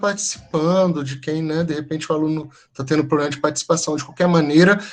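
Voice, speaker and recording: A man speaks at a fairly quick pace. Some room echo is audible. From Brazil, mostly São Paulo. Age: 40s. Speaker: teacher. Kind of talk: online lecture. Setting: video call.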